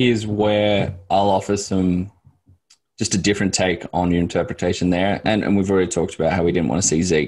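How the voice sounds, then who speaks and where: In an Australian accent, a man talks at a fairly quick pace with a very deep, low pitch, fairly even intonation and very even loudness, on a very clean recording with a silent background. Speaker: sports analyst. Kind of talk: casual chat.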